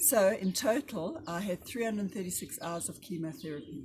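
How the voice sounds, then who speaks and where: Somewhat breathy woman's voice at medium pitch, moderate pace and lively intonation. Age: 60s. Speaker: cancer survivor. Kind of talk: testimony.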